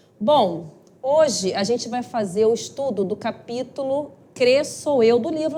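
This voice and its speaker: Her high-pitched voice carries lively intonation. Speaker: spiritist study group lecturer. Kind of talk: lecture. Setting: live-streamed talk with audience, microphone.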